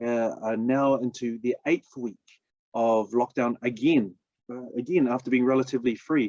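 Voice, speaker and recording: With a New Zealand accent, a man speaks at a moderate pace with ordinary pitch variation in a dry, close sound with no echo. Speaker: business opportunity presenter. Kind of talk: sales pitch. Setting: live stream.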